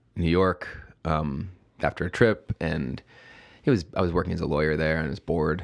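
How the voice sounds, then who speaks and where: In a very clean recording with a silent background, a man with an American accent talks at a fairly slow pace in a very deep, low voice with vocal fry and ordinary pitch variation. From Chicago, south side. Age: 40s. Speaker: brewery founder. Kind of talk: casual interview. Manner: halting.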